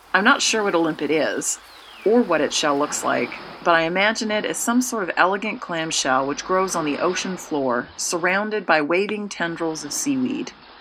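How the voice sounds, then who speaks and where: Against noticeable background noise, a woman with a medium pitch speaks with lively intonation. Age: 40s. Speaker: communication studies professor. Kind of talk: scripted narration. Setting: in her kitchen.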